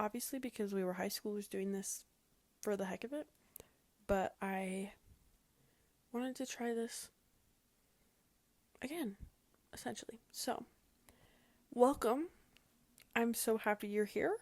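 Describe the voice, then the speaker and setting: A woman speaks with an American accent and a fairly high voice, her pitch varying in an ordinary way. Her pace is fairly slow, with long pauses that come often. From Utah. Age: 20s. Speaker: podcast host. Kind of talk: casual solo podcast talk. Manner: animated.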